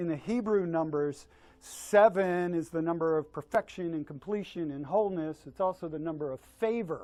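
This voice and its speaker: A man with a high pitch and a dark, mellow tone talks at a moderate pace with ordinary pitch variation. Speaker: company leader. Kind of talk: speech to staff at party. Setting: office Christmas party. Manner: halting, repetitive.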